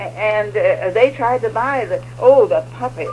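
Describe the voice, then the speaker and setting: Noticeable background noise behind a woman's fairly slow delivery. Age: 80s+. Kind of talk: interview answer. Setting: radio studio.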